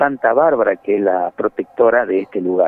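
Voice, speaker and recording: Lively intonation in a dry sound with no echo. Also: man. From Argentina, Puna region of Salta. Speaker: journalist. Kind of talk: interview. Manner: halting, many fillers and repetitions. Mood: friendly, informative. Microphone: video call.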